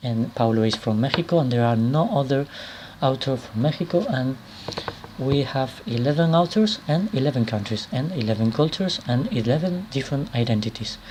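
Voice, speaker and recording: A man with a Spanish accent talks at a fairly quick pace and medium pitch. His intonation is lively, and there is noticeable background noise. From Spain. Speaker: author and anthology editor. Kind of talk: video presentation. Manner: halting, many repetitions and fillers.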